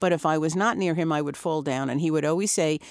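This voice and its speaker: On a very clean, dry and close recording with no echo and a silent background, a woman speaks fairly quickly at a very deep, low pitch with ordinary pitch variation. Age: 70s. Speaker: retired chef and restaurateur. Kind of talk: casual panel interview. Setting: studio.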